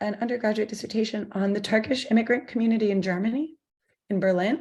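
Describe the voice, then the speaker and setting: A woman talks in a North American accent, her voice somewhat breathy. The recording is very clean, with a silent background. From US Midwest, Missouri. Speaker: historian. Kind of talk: lecture. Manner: halting, many fillers and repeats.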